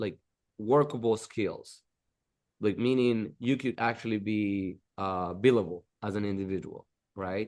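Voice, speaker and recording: With a Dominican accent, a man talks at a fairly slow pace in a fairly low pitch. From Dominican Republic. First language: Spanish. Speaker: architect. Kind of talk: interview.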